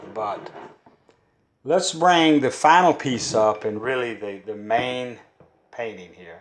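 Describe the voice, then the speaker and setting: A man with a Kentucky accent at a medium pitch, very slow, with long, frequent pauses, lively intonation and big swings in loudness. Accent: Kentucky Southern. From Kentucky, US South. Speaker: folk artist and poet. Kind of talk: casual art talk.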